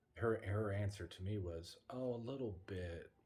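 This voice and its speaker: A man speaks quietly in a dark, mellow, fairly low voice. It is somewhat breathy, with ordinary pitch variation. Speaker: paranormal travel vlogger. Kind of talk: casual vlog chat. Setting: hotel room. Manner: hushed, quiet.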